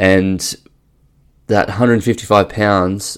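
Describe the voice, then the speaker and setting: Very deep, low male voice with fairly level intonation. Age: 30s. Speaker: golf fitness coach and podcast host. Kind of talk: solo podcast monologue. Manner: frequent fillers and self-corrections.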